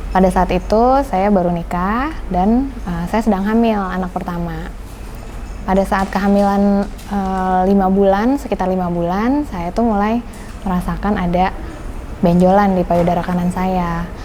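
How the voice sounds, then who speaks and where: A woman's medium-pitched voice at a moderate pace, with fairly even intonation, noticeable background noise and audible room echo. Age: 30s. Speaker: pediatrician and cancer survivor. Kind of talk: personal testimony interview. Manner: casual, with frequent filler hesitations.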